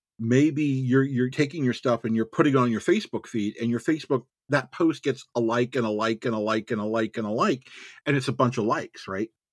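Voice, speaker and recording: A man with an unremarkable speaking voice talks at a medium pitch and fairly quick pace with ordinary pitch variation, in a dry, close recording with no echo and a quiet background. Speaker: author. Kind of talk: casual interview chat.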